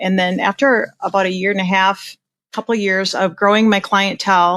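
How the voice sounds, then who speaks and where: A woman with a Minnesotan accent speaks at a moderate pace in a medium pitch with fairly even intonation. The recording is very clean, with a silent background and a dry, close sound with no echo. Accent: Minnesota. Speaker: portrait photographer. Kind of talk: podcast interview. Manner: casual, conversational.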